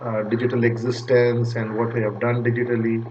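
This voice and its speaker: Room echo and background noise are both noticeable. A man speaks in a monotone at a medium pitch and a moderate pace. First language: Punjabi. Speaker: data recovery business owner. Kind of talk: channel intro talk to camera. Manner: hesitant, many fillers.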